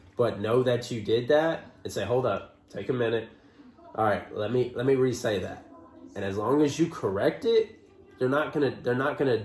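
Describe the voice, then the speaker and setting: A man's medium-pitched voice over noticeable background noise. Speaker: trucker and vlogger. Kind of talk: casual chat. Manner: stutters sometimes.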